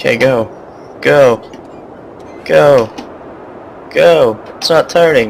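Amid noticeable background noise, a man speaks at a very slow pace, with long, frequent pauses. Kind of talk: casual video game commentary.

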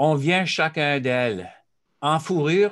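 Very slowly, a man speaks, and the background stays quiet. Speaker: author and speaker. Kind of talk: presentation. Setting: video call. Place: home room. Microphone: webcam.

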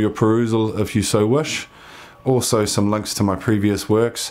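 In a New Zealand accent, a man is speaking. He takes a fairly slow pace. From New Zealand, Waitakere west of Auckland. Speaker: filmmaker and geologist. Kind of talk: grant application video, personal pitch. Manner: hesitant, many fillers and repetitions. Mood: sincere, earnest. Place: home room.

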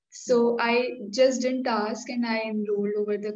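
The woman's intonation stays fairly even as she talks. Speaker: interviewee. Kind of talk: interview answer. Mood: cheerful, smiling. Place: home room. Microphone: video call.

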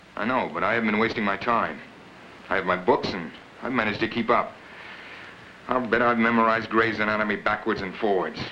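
A man's very fast, monotone, flat delivery over light background noise. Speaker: actor playing a young medical student. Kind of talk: scripted drama dialogue. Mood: earnest, eager to talk. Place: home room.

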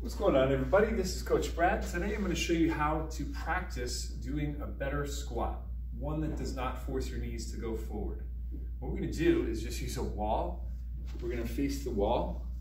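Moderately paced, a man speaks with a very deep, low pitch in a flat monotone. Audible room echo and light background noise fill the recording. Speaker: fitness coach. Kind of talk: tutorial. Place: gym. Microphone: camera far.

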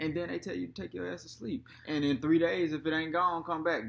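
Bright and sharp in tone, a man talks at a fairly quick pace. He takes hardly any pauses. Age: 20s. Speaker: vlogger, father; vlogger. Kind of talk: casual chat. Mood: joking, amused. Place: home room. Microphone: webcam.

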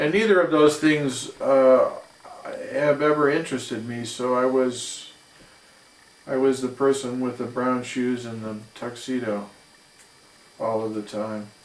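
In an American accent, a man speaks at a fairly slow pace with ordinary pitch variation and long, frequent pauses, and room echo is audible. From US Midwest, St. Louis, Missouri; Missouri. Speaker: jazz trombonist and composer; interviewee. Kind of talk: interview. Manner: halting. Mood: calm, thoughtful.

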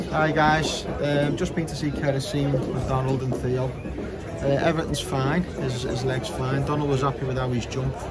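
Crowd noise fills the background. A man speaks through it at a moderate pace. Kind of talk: casual vlog update. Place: stadium. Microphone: phone near.

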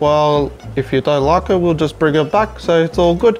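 Faint background music behind a male speaker. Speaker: comedy creator playing roles. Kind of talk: comedy sketch dialogue. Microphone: lapel.

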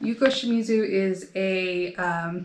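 A woman with an American accent keeps fairly even intonation over light background noise. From United States. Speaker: knitting video creator. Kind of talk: casual show-and-tell vlog. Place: home room. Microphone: phone near.

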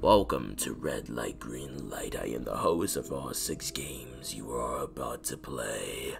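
Over clear background noise, a man does a put-on character voice at a fairly slow pace with hardly any pauses. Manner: dramatic.

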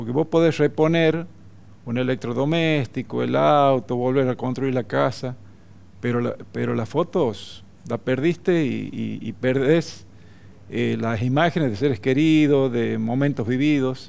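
Fairly slow speech from a man with ordinary pitch variation. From northern Salta, Argentina. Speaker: photographer; interviewee. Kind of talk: TV interview; interview answer. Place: studio. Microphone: headset.

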